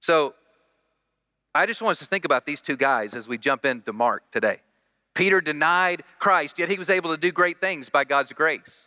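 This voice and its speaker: With a Southern US accent, a man speaks at a moderate pace in a fairly high pitch, his bright, sharp tone and lively intonation captured in a dry, close sound with no echo on a very clean recording with a silent background. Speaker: guest preacher. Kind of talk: sermon. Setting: church.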